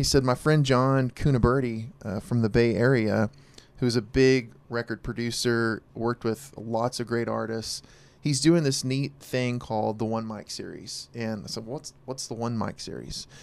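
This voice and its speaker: An ordinary speaking voice from a man with an American accent, medium pitch, fairly even intonation and a moderate pace. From Oklahoma (Verdun). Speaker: musician. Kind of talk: casual chat.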